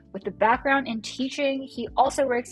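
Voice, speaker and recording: A woman speaks at a fairly quick pace with a Californian accent. Music plays in the background. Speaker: podcast host. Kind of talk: casual chat.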